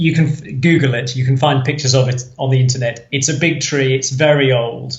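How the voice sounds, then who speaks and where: A man speaks at a moderate pace in a fairly high pitch, with audible room echo. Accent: English. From England, Nottinghamshire. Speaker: podcast guest, cruise fan. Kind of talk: casual interview chat.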